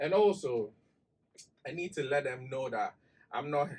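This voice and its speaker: A man with a Ghanaian accent speaks at a moderate pace. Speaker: digital marketing expert. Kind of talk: casual chat. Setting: studio.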